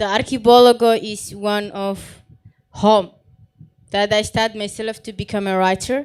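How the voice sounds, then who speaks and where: Her pitch fairly high, a woman talks at a fairly slow pace in a monotone, flat intonation. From Somalia. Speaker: refugee writer and activist. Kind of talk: panel talk.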